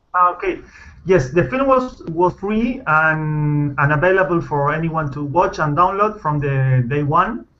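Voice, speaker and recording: In a Spanish accent, a man with a bright, sharp tone and fairly high pitch speaks at a fairly slow pace with lively intonation. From Argentina. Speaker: film director. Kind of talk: interview. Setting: video call. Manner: halting, many fillers and restarts.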